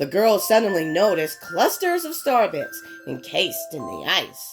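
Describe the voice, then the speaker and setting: Over music in the background, a woman talks at a fairly slow pace while her pitch swings very widely. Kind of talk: read story.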